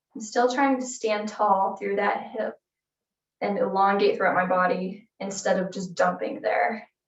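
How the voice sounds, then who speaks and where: Soft-spoken and calm in tone, a woman uses a medium pitch with ordinary pitch variation and some vocal fry. She speaks at a fairly slow pace. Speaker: fitness instructor. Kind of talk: exercise class instruction.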